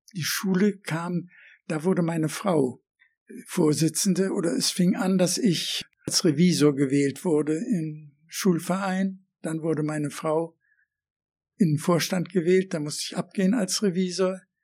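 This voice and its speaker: A man speaks at a fairly slow pace in a high voice with ordinary pitch variation. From Germany, Berlin. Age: 80s+. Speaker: eyewitness of the Nazi era. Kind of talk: oral history interview. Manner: halting.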